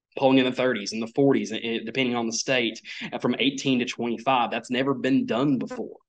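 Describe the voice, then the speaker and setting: Speaking at a moderate pace, a man talks in an East Tennessee accent. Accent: Southern US (East Tennessee). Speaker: conservative columnist and county party chairman. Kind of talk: political interview.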